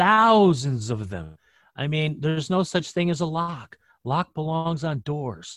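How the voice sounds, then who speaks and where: A plain, everyday voice from a man, fairly high in pitch, with lively intonation at a fairly slow pace, on a very clean recording with a silent background. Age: 50s. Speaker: sports betting handicapper. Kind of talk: casual chat.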